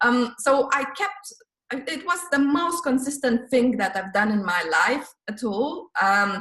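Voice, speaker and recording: A woman's high voice with very wide pitch swings. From Lithuania. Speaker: former real estate worker turned online entrepreneur. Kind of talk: interview answer.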